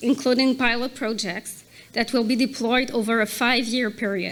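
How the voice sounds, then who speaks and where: A woman with a high pitch speaks with a non-native accent. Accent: non-native English accent, audible. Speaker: corporate accessibility advisor. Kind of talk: prepared speech at a gala.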